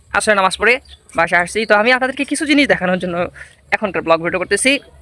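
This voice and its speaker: The man's voice is raised and projected. It carries a bright, sharp tone. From rural Bangladesh. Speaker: vlogger. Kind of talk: casual vlog walkthrough.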